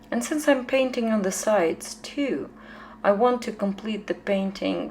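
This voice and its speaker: A woman at a fairly slow pace with a strong Ukrainian accent. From Ukraine. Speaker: painter. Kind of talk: tutorial. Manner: halting, many fillers.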